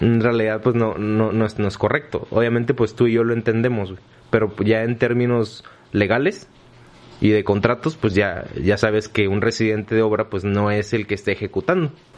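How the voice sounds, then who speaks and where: With an ordinary speaking voice, a man speaks at a moderate pace, his pitch fairly low and his intonation fairly even. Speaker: podcast host, civil engineer. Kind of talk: casual chat.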